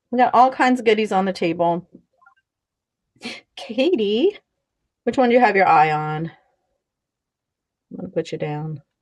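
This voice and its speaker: Loud and fairly high-pitched, a woman speaks with very wide pitch swings and long, frequent pauses. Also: moderate pace. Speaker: online seller hosting a live auction. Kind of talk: live-stream sales show. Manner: casual, chatty.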